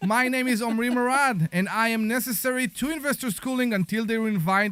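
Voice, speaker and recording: This man speaks with a non-native accent and a high pitch. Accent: foreign. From outside the US. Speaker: radio host. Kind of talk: radio show opening. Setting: radio studio. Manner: animated.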